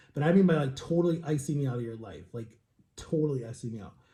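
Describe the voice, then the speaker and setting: This man's voice is somewhat breathy and dark and mellow in tone, with ordinary pitch variation. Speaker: vlogger. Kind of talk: casual vlog monologue.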